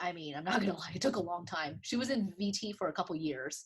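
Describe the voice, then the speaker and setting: A somewhat breathy woman's voice against a quiet background. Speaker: optometrist. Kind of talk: interview. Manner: fast.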